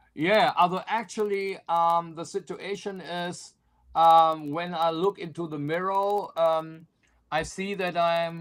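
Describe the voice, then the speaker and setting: With a German accent, a man speaks at a very slow pace in a high pitch, his intonation fairly even, on a very clean recording with a silent background. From Germany (Cologne). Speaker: country singer. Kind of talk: interview. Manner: halting, many fillers.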